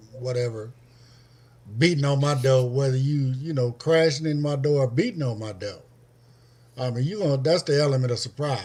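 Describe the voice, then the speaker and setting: A man with a fairly high pitch and a dark, mellow, somewhat breathy tone speaks at a fairly quick pace with ordinary pitch variation and long, frequent pauses. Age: 60s. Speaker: former parolee. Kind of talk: casual discussion.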